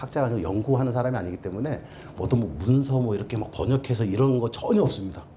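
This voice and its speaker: The speaker has a Seoul accent, and room echo is audible. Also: man. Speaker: documentary filmmaker. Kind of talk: lecture.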